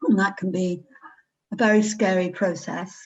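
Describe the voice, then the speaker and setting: A woman with an English accent speaks at a fairly slow pace, with ordinary pitch variation. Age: 70s. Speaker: retired operating theatre nurse. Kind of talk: interview testimony.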